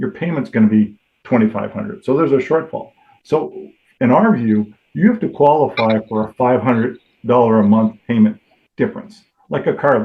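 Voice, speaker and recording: Man with an ordinary speaking voice, medium pitch and lively intonation, at a fairly quick pace. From Toronto, Canada. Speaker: mortgage lender. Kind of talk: podcast interview answer.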